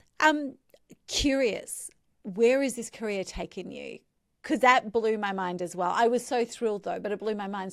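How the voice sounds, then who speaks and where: A woman's fairly high voice in an Australian accent, moderate in pace, with ordinary pitch variation and big swings in loudness. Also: very clean recording, silent background. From Central Queensland, Australia. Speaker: podcast host. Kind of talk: interview.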